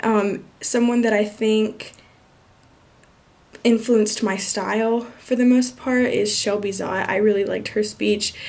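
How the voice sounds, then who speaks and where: A woman's fairly high voice at a fairly slow pace, monotone and flat in intonation, with audible room echo. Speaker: student. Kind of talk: self-review monologue. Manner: casual with fillers.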